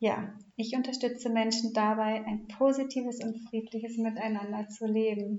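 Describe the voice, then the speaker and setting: Somewhat breathy and fairly high, a woman's voice moves at a fairly slow pace in monotone, flat intonation, broken by long, frequent pauses. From Hamburg, northern Germany. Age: 30s. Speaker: podcast co-host, mother and family coach. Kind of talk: casual interview about her life story.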